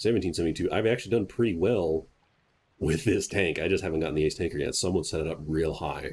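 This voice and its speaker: Very deep and low, a man's voice moves at a very fast pace and sounds somewhat breathy. His pitch varies in an ordinary way on a very clean recording with a silent background. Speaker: gaming YouTuber. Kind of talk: gameplay commentary tutorial.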